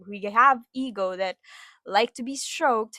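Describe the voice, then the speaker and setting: Speaking at a very slow pace, a woman has a fairly high pitch, a bright, sharp tone and ordinary pitch variation. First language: Filipino (Tagalog). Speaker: podcaster. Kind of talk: casual monologue. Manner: halting, many repetitions. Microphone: new wireless microphone.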